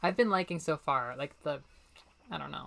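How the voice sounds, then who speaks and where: Speaking at a fairly quick pace, a woman sounds animated, with vocal fry in her voice. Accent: American. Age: 20s. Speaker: streamer. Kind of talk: casual chat.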